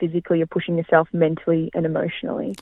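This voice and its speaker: In an Australian accent, a woman speaks with monotone, flat intonation and a fairly low pitch. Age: 20s. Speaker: amateur athlete. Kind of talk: interview.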